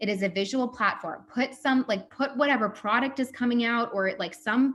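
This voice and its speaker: The speech comes at a fairly quick pace with ordinary pitch variation. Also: woman. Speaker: social media coach. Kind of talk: workshop presentation. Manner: fast.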